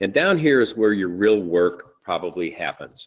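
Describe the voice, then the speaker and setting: A man's unremarkable speaking voice, fairly low in pitch, at a moderate pace with ordinary pitch variation. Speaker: real estate trainer. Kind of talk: webinar tutorial. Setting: live webinar.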